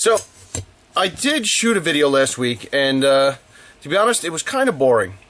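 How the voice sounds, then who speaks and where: A fairly high man's voice at a moderate pace, with very wide pitch swings amid noticeable background noise. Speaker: knife maker. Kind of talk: casual talk to camera. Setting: workshop. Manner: upbeat, chatty.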